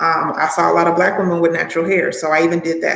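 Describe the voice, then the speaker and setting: A woman with a fairly low pitch and an American accent. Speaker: acting coach. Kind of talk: live Q&A stream. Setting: livestream from home. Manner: animated.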